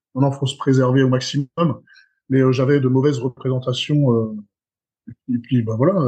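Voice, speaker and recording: Somewhat breathy and dark, mellow in tone, a man speaks at a fairly quick pace with medium pitch, monotone, flat intonation, and long, frequent pauses. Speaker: strongman athlete. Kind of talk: casual chat. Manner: halting.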